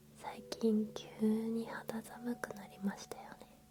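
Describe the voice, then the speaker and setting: Whispering and soft-spoken, a woman talks at a very slow pace. Music plays in the background. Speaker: ASMR creator playing an eyebrow salon staff member. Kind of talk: ASMR roleplay for sleep, polite salon service talk. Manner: whispered, soft-spoken, slow.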